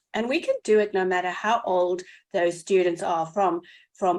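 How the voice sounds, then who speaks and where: A woman with a South African accent, medium pitch, fairly even intonation and moderate pace, over a quiet background. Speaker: educator, podcast co-host. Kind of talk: casual podcast conversation.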